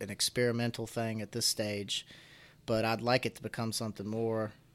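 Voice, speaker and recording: A man speaks in a Southern Appalachian accent. His pitch is medium. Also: very clean recording, silent background. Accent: Southern Appalachian, slight to moderate. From Floyd, Virginia, Appalachia. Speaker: college wrestler and outdoors content creator. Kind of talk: casual interview conversation.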